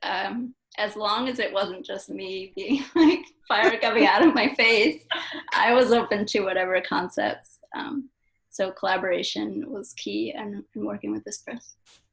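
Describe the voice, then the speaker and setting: Big swings in loudness mark this woman's fairly high-pitched voice and lively intonation. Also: fairly slow pace. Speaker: poet. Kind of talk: interview at book launch. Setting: event with live audience. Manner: soft-spoken.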